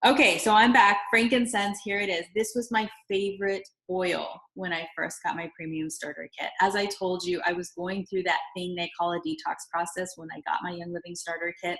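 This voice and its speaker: An unremarkable speaking voice, a woman at medium pitch talks at a moderate pace with hardly any pauses and ordinary pitch variation. Her loudness swings widely. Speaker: essential oils seller. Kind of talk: product tutorial.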